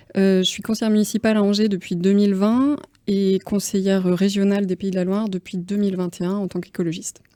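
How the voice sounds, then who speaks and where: Very fast and flat in a monotone, a woman speaks at medium pitch in a dark, mellow tone. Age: 30s. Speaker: politician. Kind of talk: political debate. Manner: hesitant, many fillers.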